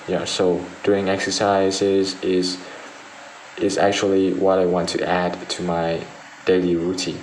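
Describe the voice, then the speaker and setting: At a fairly slow pace with long, frequent pauses, a man with a very deep, low pitch and a Vietnamese accent speaks in a monotone, flat intonation amid audible room echo. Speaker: IELTS speaking test candidate. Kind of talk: mock speaking exam answers. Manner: halting, with repetitions and fillers.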